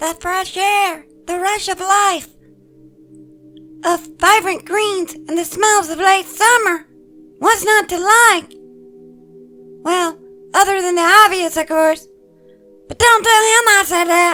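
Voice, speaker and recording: An extremely high-pitched, put-on character voice speaks at a fairly slow pace with long, frequent pauses. Faint music plays in the background. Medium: read story. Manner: playful, teasing.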